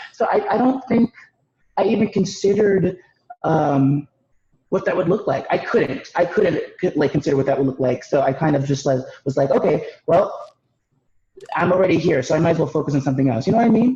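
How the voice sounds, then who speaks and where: A man with a dark, mellow tone speaks at a fairly quick pace with lively intonation. He takes long, frequent pauses. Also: very even loudness. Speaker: panelist, student intern. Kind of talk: panel discussion.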